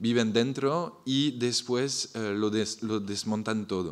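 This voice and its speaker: A man talks at a very slow pace with a French accent. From France. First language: French (speaking Spanish). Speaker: architect, festival founder. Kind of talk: panel presentation. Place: hall. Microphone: podium.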